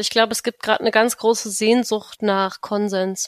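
A woman with a plain, everyday voice talks at a fairly high pitch and a fairly quick pace, her intonation fairly even, in a dry, close recording with no echo. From Brandenburg, near Berlin. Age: 20s. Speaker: democracy activist. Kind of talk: interview.

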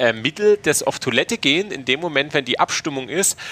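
With a normal speaking voice, a man talks at a fairly quick pace and fairly high pitch with lively intonation, the sound dry and close with no echo. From Saxony, Königstein. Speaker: podcast host. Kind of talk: casual chat. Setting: university building room.

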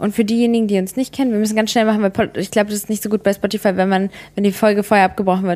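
A woman rattles off words at a very fast pace in a dark, mellow tone. Her medium pitch stays monotone and flat. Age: 20s. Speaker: podcast co-host. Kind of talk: casual chat.

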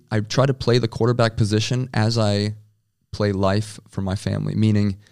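The recording is very clean, with a silent background. The voice carries an American accent and fairly even intonation. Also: man. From US Midwest, South Dakota. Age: 20s. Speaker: American football quarterback. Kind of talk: interview.

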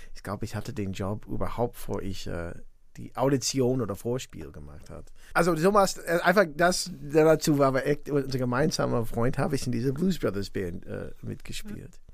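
A man with an English accent speaks at medium pitch with vocal fry. His pitch swings very widely. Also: moderate pace, big swings in loudness. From US Midwest (northwest Indiana, near Chicago). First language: English (speaking German). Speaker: musician and composer. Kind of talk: interview. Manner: halting, many fillers.

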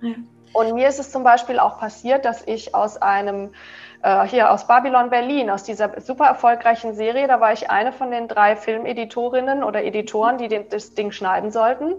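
Here is a normal speaking voice at a moderate pace. Its pitch variation is ordinary. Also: woman, fairly high pitch for a woman. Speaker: yoga teacher and author. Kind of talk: interview. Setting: video call.

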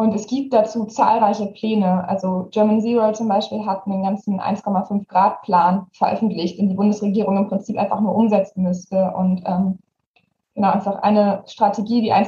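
A woman at a medium pitch, somewhat breathy, in a monotone, flat intonation at a moderate pace. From Germany, Saxony. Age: young (18). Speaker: youth activist. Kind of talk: interview.

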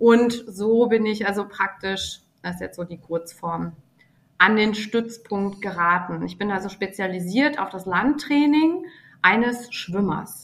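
Speaking at a very slow pace, a woman with a medium pitch lets her loudness swing a lot. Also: ordinary pitch variation. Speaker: athletic trainer. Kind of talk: interview.

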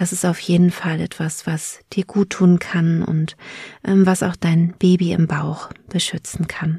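Speaking at a very slow pace, a woman keeps a monotone, flat intonation at a fairly low pitch. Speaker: podcast host and birth preparation coach. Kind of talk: guided meditation. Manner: slow, soothing, calm, gentle; soft-spoken, with long pauses.

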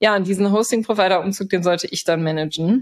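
With a plain, everyday voice, a woman speaks at a moderate pace and medium pitch with ordinary pitch variation, in a dry, close sound with no echo. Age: 30s. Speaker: software developer, consultant. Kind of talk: casual interview. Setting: remote podcast recording.

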